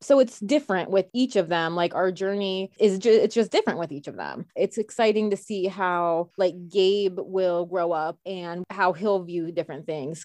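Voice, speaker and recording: Speaking with an American accent, a woman with a plain, everyday voice talks at a moderate pace in a medium pitch, with ordinary pitch variation and hardly any pauses, against a quiet background. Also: dry, close sound with no echo. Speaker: bakery owner. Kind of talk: casual chat.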